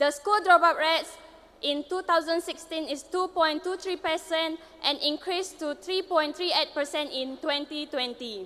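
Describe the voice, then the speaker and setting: A woman speaks in a raised, projected voice at an extremely high pitch. Her pitch variation is ordinary and her pace moderate. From Sarawak, Malaysia. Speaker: pageant contestant. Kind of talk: prepared speech.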